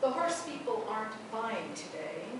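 A woman's voice comes through strong room echo and noticeable background noise. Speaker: poet. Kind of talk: poetry reading, performed poem. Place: hall.

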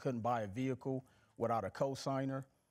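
A man speaks at a fairly quick pace with an American accent. His intonation stays fairly even over a quiet background. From Milwaukee, Wisconsin and Mississippi. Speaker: financial educator and author; financial educator. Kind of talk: casual interview. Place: studio.

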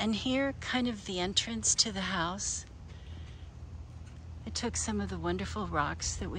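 A woman talks at a fairly slow pace. The sound is dry with no echo, over light background noise. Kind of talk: casual garden tour narration. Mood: pleased, relaxed. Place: garden. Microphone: phone near.

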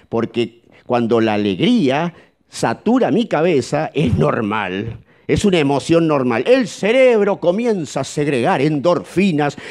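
A man with a Rioplatense accent, fairly high in pitch, fairly slow, very wide pitch swings, very even loudness and a quiet background. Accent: Argentine Rioplatense Spanish. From Argentina. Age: middle-aged. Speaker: psychologist; speaker. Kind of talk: seminar talk. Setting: auditorium with live audience. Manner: animated. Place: hall. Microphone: handheld.

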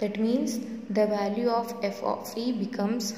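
Light background noise and audible room echo fill the recording. A woman speaks at a fairly slow pace in a monotone, flat way. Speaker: teacher. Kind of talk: lecture. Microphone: phone near.

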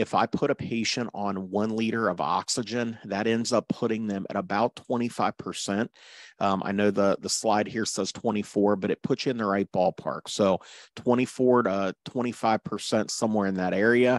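A man's fairly low, ordinary speaking voice, fairly slow and fairly even in intonation, dry with no echo against a quiet background. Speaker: paramedic course instructor. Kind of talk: lecture. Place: home room.

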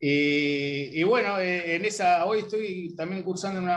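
His voice is somewhat breathy. The pitch moves in an ordinary way. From Argentina. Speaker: sociologist. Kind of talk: self-introduction. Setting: video call. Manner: halting. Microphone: video call.

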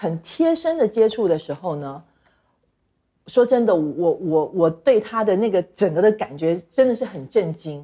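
A dark, mellow tone with very wide pitch swings at a fairly slow pace. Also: woman, quiet background. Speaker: talk show guest. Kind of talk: casual chat. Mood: animated, expressive storytelling. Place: studio.

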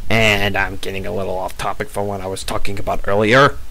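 A man speaking at a moderate pace makes very wide pitch swings against noticeable background noise. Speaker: gaming commentator. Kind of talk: casual gameplay commentary.

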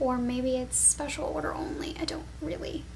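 Soft-spoken woman at a moderate pace over light background noise. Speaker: perfume reviewer. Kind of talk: casual review chat. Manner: soft-spoken, hushed ASMR voice. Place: home room. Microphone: webcam.

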